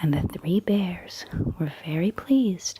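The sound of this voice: There is an unforced reading voice here, and its pitch varies in an ordinary way.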